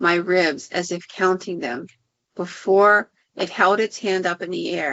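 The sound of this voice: An unforced reading voice with fairly even intonation over a quiet background.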